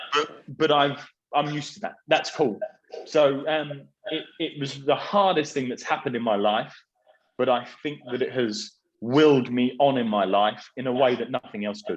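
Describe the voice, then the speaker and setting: At a moderate pace, a man with a southern English accent speaks with a fairly high pitch and ordinary pitch variation. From southern England, Surrey. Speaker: property business executive. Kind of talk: interview conversation. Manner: halting.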